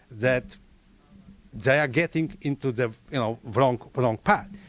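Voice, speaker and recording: A man with a Polish accent and ordinary pitch variation. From Poland. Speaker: audience member asking a question. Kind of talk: audience Q&A question.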